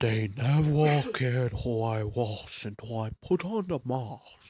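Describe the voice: A man's put-on character voice, medium in pitch and fairly slow in pace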